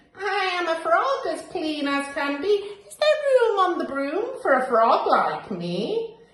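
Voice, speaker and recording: In a put-on character voice pitched extremely high, a woman speaks at a fairly slow pace with a slight echo. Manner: polite, cheerful.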